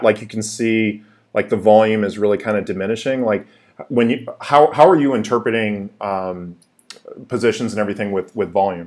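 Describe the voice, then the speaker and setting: Against a quiet background, a man with a West Coast accent talks at a fairly low pitch with fairly even intonation. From US, Seattle. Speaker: YouTube crypto channel host. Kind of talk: casual live-stream chat. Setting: live stream, home office. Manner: halting, many fillers. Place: home room.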